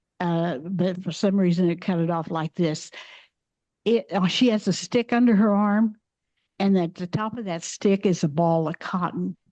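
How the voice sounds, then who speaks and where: A woman with a dark, mellow tone speaks at medium pitch, with ordinary pitch variation. Her pace is moderate, and the background is quiet. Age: 80s+. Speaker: Benedictine nun and former missionary. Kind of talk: slide presentation. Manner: halting, with frequent restarts.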